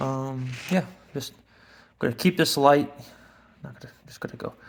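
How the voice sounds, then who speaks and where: The loudness swings widely while the intonation stays fairly even. The pace is moderate. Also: man, fairly high pitch for a man. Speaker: woodworking hobbyist vlogger. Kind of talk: casual tutorial narration while working. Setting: garage workshop. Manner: whispering.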